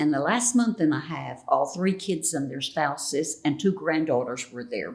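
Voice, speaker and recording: With a Texas accent and a very deep, low pitch, a woman talks at a moderate pace with lively intonation and big swings in loudness. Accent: Southern US (Texas). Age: 80s+. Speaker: retired educator. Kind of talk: interview answer.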